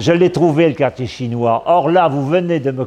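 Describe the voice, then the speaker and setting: A man speaks against noticeable background noise. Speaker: storyteller recounting life anecdotes. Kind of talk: anecdotal storytelling. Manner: loud; hesitant with fillers.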